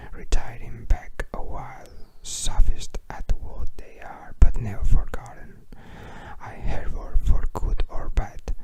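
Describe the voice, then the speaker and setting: Whispering at a very slow pace, a man's loudness swings widely over noticeable background noise. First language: Spanish. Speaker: ASMR creator. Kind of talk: reading aloud. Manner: halting.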